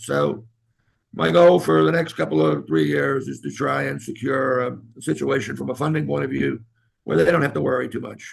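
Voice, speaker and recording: A man's very deep, low voice with vocal fry, very wide pitch swings and a moderate pace. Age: 70s. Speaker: pediatric heart surgeon. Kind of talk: interview.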